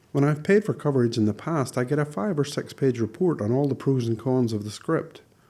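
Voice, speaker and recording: On a very clean recording with a silent background, a man with a Northern Irish accent speaks at a moderate pace in a dark, mellow tone with lively intonation. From Northern Ireland. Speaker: screenwriter and video blogger. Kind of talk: casual scripted monologue.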